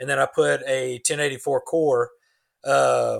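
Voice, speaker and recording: This recording is very clean and the background is silent. A man is talking. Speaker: knifemaker. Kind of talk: casual chat.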